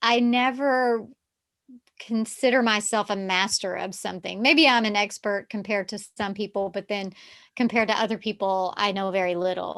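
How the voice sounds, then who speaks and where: A woman with a Southern US accent talks at a moderate pace and medium pitch, her intonation fairly even. The background is quiet. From US South, Texarkana on Texas-Arkansas border. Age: 50s. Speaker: yoga therapist. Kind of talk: casual chat.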